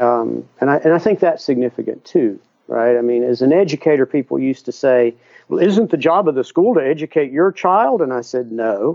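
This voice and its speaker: Lively intonation marks a man's speech with an American accent. He talks fairly quickly at a medium pitch. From US South. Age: 60s. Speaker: educator and author. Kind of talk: interview. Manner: halting.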